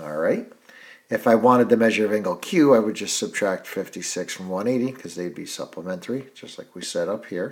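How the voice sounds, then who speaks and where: A man's unremarkable speaking voice at a fairly quick pace and fairly low pitch, with ordinary pitch variation and big swings in loudness. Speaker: math teacher. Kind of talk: tutorial.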